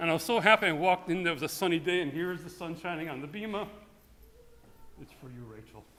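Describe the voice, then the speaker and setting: In a room with audible echo, a man with a high pitch and a bright, sharp tone talks at a very fast pace broken by long, frequent pauses, with ordinary pitch variation and big swings in loudness. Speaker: rabbi. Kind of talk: eulogy. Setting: synagogue sanctuary.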